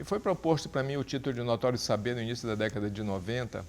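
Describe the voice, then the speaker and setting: This man's pitch varies in an ordinary way. He speaks fairly quickly. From Brazil, Pará (Santarém). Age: 60s. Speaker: journalist. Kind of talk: interview. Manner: halting, many repetitions.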